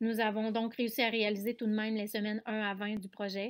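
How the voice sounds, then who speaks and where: A woman's fairly high voice in a monotone, flat intonation, on a very clean recording with a silent background. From Quebec, Canada. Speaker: special education teacher and researcher. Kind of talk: conference presentation. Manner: hesitant, frequent filler sounds.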